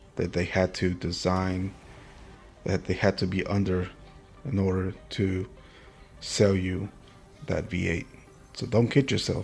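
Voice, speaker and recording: A man's very deep, low voice at a fairly slow pace, broken by long, frequent pauses, with music in the background. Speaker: car channel host. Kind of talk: casual rant. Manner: animated.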